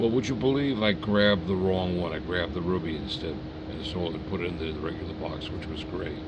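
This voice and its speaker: Talking at a very fast pace, a man with a very deep, low voice shows ordinary pitch variation, with noticeable background noise and audible room echo. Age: 80s+. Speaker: model train collector. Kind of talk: casual chat. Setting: home basement.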